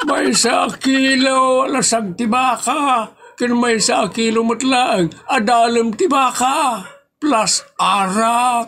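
A man with an extremely high pitch and ordinary pitch variation speaks at a very slow pace with very even loudness. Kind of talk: comic overacting. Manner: sly, pompous.

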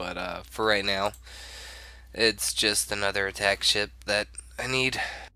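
Speaking at a fairly slow pace, a man with a fairly low pitch has a bright, sharp tone and vocal fry, captured in a very clean recording with a silent background. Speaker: gaming YouTuber. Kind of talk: gameplay commentary. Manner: casual, hesitant with fillers.

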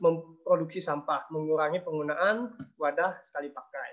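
A man is speaking. His pace is fairly slow. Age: 20s. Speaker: conservation activist; presenter. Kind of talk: webinar presentation. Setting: video call. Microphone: video call.

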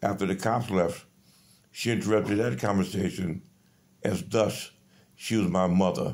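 A man speaks at a moderate pace in a fairly low pitch, his tone dark and mellow with vocal fry. His pitch varies in an ordinary way. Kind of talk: casual selfie monologue, complaint. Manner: drowsy, low voice while lying in bed. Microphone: phone near.

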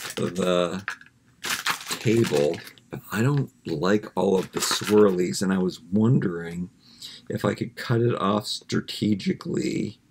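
Against noticeable background noise, a man speaks at a very slow pace in a fairly low voice with ordinary pitch variation. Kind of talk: casual vlog chat. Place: home room. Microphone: webcam.

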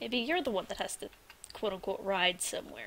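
Noticeable background noise sits behind the speaker. She is a woman talking at a moderate pace. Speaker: gaming video creator. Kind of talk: let's play commentary. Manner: animated.

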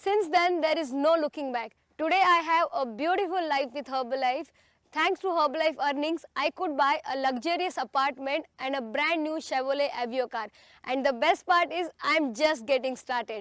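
A woman speaks in a high pitch, the sound dry with no echo. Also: ordinary pitch variation, moderate pace, quiet background. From India, Maharashtra. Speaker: direct-selling distributor, training presenter. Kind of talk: scripted training video narration. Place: garden. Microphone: lapel.

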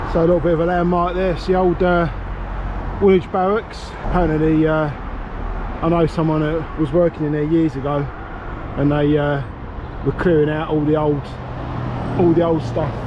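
A man speaks at a moderate pace with monotone, flat intonation and long, frequent pauses. The sound is dry with no echo, though there is noticeable background noise. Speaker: runner vlogger. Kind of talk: casual vlog chat. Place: street. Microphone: phone near.

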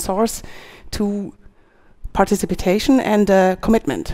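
Ordinary pitch variation marks a woman's moderate pace. Behind her, all is quiet. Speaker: conference speaker. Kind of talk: conference talk. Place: stage. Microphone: headset.

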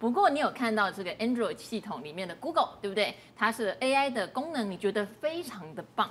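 Her pitch swings very widely around a fairly high level. This woman's loudness also shifts in big swings. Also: moderate pace, hardly any pauses. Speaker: TV finance show host. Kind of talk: casual chat. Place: studio. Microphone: lapel.

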